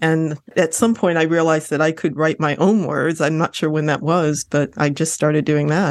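A woman with an American accent and a very deep, low pitch, very even loudness, fairly even intonation and a quiet background. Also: moderate pace. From Lorain, Ohio. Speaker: novelist. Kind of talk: interview.

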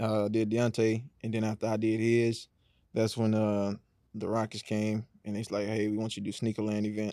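At a moderate pace, a man with an American accent speaks in a fairly low pitch. His intonation is flat and monotone, on a very clean recording with a silent background. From Houston area, Texas. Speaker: custom shoe artist, guest. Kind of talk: casual interview.

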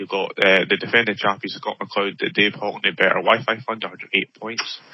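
A man talks at a moderate pace in a medium pitch with fairly even intonation. He has a plain, everyday voice. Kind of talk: casual chat. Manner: talkative, laughs often.

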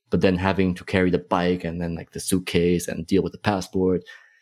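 Over a very clean recording with a silent background, a man with a very deep, low pitch and a dark, mellow tone speaks at a moderate pace in a monotone, flat intonation. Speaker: guest cyclist. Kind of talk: casual chat.

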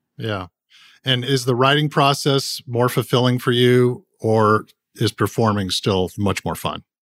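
A man with a Californian accent speaks at a medium pitch with ordinary pitch variation. The recording is very clean, dry and close, with a silent background and no echo. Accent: General American (Californian). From Southern California (San Gabriel). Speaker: podcast host and charity founder. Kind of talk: interview.

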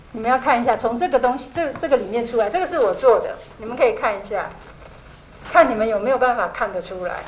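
A high-pitched woman talks at a very fast pace with lively intonation and big swings in loudness. Noticeable background noise runs underneath. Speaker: author and aromatherapy teacher. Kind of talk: interview.

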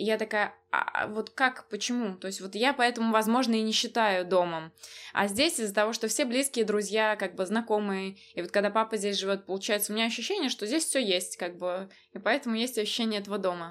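A normal speaking voice from a woman, fairly high in pitch, fairly quick, with ordinary pitch variation. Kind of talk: casual chat.

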